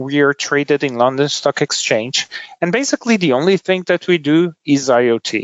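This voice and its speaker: A man with a Brazilian accent talks fairly quickly at a fairly high pitch with ordinary pitch variation. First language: Portuguese. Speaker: tech company executive. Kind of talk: podcast interview. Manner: hesitant, many fillers.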